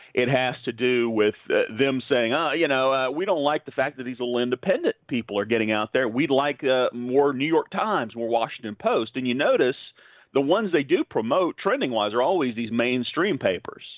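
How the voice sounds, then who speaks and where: In a normal speaking voice, the speaker moves at a fairly quick pace with hardly any pauses and ordinary pitch variation. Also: man, medium pitch for a man. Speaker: conservative columnist. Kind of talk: interview.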